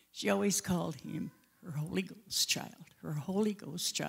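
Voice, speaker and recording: A woman speaks with a fairly low pitch. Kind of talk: personal testimony talk. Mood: warm reminiscing. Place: church. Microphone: handheld.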